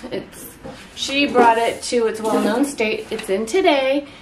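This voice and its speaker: With noticeable background noise behind her, a woman speaks at a fairly slow pace in a high pitch with ordinary pitch variation. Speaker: home herbalist vlogger. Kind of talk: casual vlog chat. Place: kitchen. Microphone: camera far.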